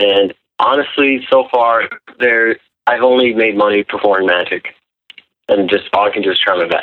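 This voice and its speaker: In an American accent, a man with a medium pitch and ordinary pitch variation talks in a plain, everyday voice. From Wisconsin. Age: 20s. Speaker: caller, magician. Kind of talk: call-in conversation. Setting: phone call.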